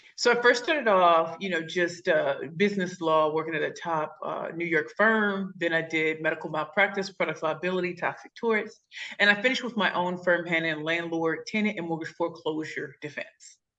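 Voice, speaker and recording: A woman with a St. Louis accent talks with hardly any pauses. Her pitch variation is ordinary. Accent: Midwestern, St. Louis. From St. Louis, Missouri, US Midwest. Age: 40s. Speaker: pitch coach and speaker. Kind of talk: interview. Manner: fast; high-energy, animated.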